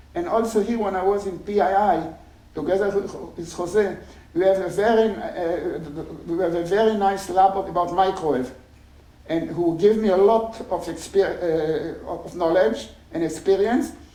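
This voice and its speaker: A man with a high pitch and ordinary pitch variation talks at a moderate pace. There is audible room echo and noticeable background noise. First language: not English. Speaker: engineering professor. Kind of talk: conference talk. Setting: stage with audience. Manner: halting.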